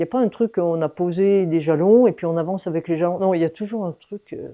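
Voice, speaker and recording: A woman speaks at a very fast pace. Her fairly low voice has ordinary pitch variation. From France, Lyon suburbs. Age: 60s. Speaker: mountain guide, former teacher. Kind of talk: interview conversation. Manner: hesitant, many fillers.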